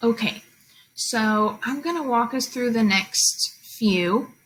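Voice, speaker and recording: This woman has an unremarkable speaking voice, pitched fairly high, with ordinary pitch variation. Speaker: teacher. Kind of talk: tutorial.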